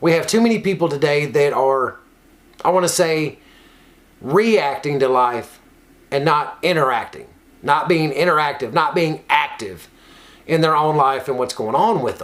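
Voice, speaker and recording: Long, frequent pauses break up a man's moderate pace, while his fairly high pitch varies in an ordinary way. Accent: slight Kentucky. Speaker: recovery nonprofit worker and online show host. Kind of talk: casual motivational talk.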